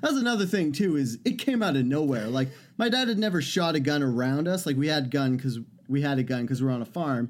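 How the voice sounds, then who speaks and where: With a plain, everyday voice, a man talks at a fairly quick pace, his pitch fairly high, his intonation lively and his loudness very even, on a very clean recording with a silent background. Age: 30s. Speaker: podcast co-host. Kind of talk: casual chat.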